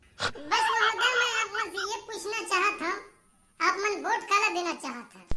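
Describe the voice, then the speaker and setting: A cartoonish character voice, squeaky and pitched extremely high. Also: moderate pace. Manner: earnest.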